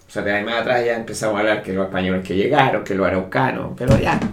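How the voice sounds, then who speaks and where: The speech comes very fast, with audible room echo and noticeable background noise. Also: man. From Chile. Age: 60s. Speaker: engineer. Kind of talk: interview. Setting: at home.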